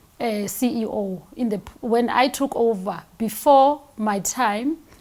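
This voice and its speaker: A woman speaks at a fairly slow pace with a fairly high pitch, ordinary pitch variation, and noticeable background noise. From South Africa, Soweto. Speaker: company CEO. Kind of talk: interview.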